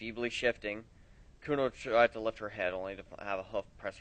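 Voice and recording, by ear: A person reads aloud in a natural voice. The pitch moves in an ordinary way.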